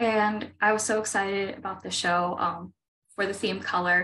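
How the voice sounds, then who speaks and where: A woman with an American accent has a bright, sharp tone, speaking at a moderate pace with ordinary pitch variation. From Pittsburgh, Pennsylvania. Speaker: oil painter. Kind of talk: artist talk; artist talk presentation. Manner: halting, many fillers. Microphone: video call.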